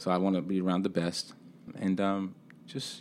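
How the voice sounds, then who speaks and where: A man with a New York accent and a very deep, low pitch speaks at a moderate pace on a very clean recording with a silent background. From Brooklyn, New York. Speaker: film festival founder. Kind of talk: interview. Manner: animated.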